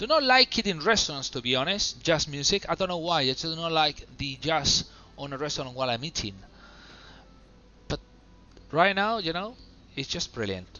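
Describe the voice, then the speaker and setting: A man's relaxed, fairly high voice with very wide pitch swings and long, frequent pauses, music in the background. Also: moderate pace. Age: 30s. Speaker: flight simulator streamer. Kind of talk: live gameplay commentary. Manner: relaxed, casual; halting, hesitant.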